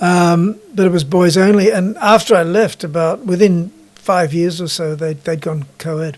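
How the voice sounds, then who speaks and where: A man's high-pitched voice with fairly even intonation and hardly any pauses, over noticeable background noise. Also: moderate pace. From Australia, Sydney north-west suburbs. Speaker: guest telling life story. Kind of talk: casual chat. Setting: podcast.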